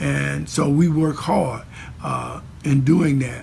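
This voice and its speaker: A man is speaking. Background noise is noticeable. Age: 60s. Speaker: pastor. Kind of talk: interview. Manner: repetitive, frequent fillers and restarts; passionate.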